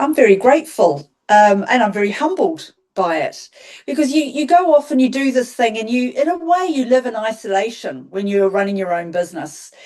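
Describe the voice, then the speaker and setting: With a New Zealand accent, a woman speaks at a moderate pace in a high voice full of very wide pitch swings. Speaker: garden designer. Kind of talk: interview. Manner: hesitant, many ums.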